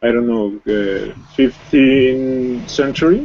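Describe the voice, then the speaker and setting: A man with a Spanish accent, medium pitch and a dark, mellow tone. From Colombia. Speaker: English learner. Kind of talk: language class conversation. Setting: live video class. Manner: halting.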